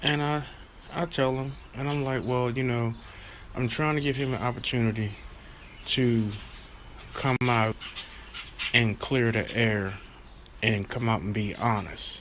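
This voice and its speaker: Over noticeable background noise, a man speaks fairly slowly at a medium pitch with ordinary pitch variation and long, frequent pauses. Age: 40s. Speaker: member of a historic family speaking as a guest. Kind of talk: livestream interview.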